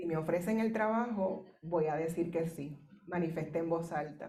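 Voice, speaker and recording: Amid audible room echo, a woman with a Puerto Rican accent talks at a fairly low pitch in a dark, mellow tone, at a moderate pace with fairly even intonation. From Puerto Rico. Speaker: professor. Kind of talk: keynote speech. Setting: conference.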